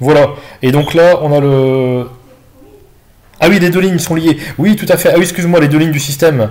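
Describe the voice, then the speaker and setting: A man with a fairly high pitch, ordinary pitch variation, a moderate pace and long, frequent pauses. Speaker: math teacher. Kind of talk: online tutorial session correcting exercises. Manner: hesitant, many fillers.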